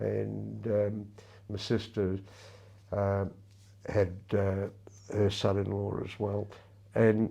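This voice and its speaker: A man with an Australian accent, very slow and monotone, flat in intonation, dark and mellow in tone at a fairly low pitch, with long, frequent pauses. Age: 80s+. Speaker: retired lawyer and masters athlete. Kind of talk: interview. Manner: halting.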